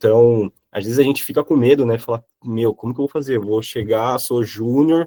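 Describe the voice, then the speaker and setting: The man's tone is dark and mellow, and the sound is dry and close with no echo. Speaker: software professional giving career talk. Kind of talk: online class talk with Q&A. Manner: hesitant, many fillers.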